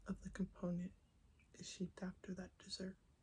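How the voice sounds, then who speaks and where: The speaker is soft-spoken and keeps to a fairly slow pace. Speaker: ASMR creator. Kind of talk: soft-spoken ASMR talk to camera.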